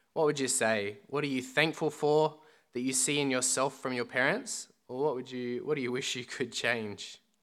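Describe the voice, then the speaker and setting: On a very clean recording with a silent background, a man talks at a moderate pace in a medium pitch. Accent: Australian. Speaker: student minister. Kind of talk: sermon. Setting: church.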